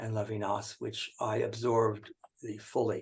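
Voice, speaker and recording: Fairly slow, somewhat breathy delivery from a man with an American accent. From US Northeast, Connecticut. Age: 80s+. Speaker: philosopher and activist. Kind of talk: interview conversation. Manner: halting, many fillers.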